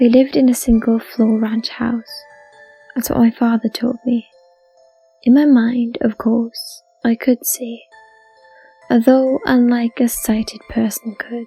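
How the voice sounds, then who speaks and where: Music plays behind a woman with a high pitch and fairly even intonation, speaking at a fairly slow pace with long, frequent pauses. The sound is dry and close with no echo. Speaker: story narrator. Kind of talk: horror story narration.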